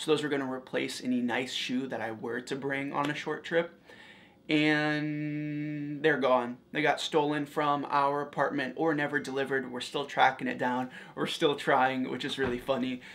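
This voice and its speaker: A man's flat, monotone voice over light background noise. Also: moderate pace. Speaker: fashion vlogger. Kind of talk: casual vlog chat. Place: home room. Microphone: lapel.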